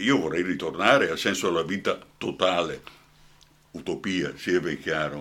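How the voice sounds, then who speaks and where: This man talks fairly slowly in a very deep, low voice. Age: old. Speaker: actor and journalist. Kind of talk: radio interview. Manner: animated.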